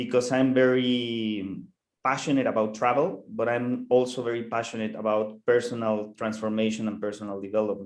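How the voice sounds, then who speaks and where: Here a man speaks with a Mexican accent. His pitch is medium. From Mexico. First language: Spanish. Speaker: co-host. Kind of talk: online networking session. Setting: video call. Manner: halting, repeats words.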